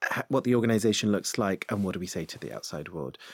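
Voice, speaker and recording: In an unremarkable speaking voice, a man with a medium pitch uses lively intonation, the sound dry and close with no echo. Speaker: diversity and inclusion head. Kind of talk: casual interview. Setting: studio.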